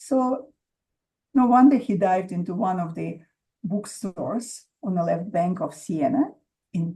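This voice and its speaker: Speaking at a medium pitch with a strong Russian accent, a woman talks at a fairly slow pace in a somewhat breathy, dark, mellow tone, her intonation lively and her speech broken by long, frequent pauses. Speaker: author. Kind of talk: interview. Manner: hesitant, many fillers.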